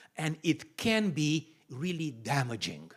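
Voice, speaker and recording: A man with a Romanian accent speaks in a fairly high pitch that is somewhat breathy. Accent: Romanian accent, lasting. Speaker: pastor. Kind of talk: sermon-style teaching talk.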